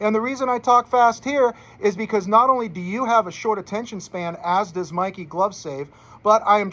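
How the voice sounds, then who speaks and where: In a raised, projected voice, a man speaks at a high pitch with a bright, sharp tone and ordinary pitch variation. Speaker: sports betting tipster. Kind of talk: sports betting picks monologue. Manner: fast; casual, chatty.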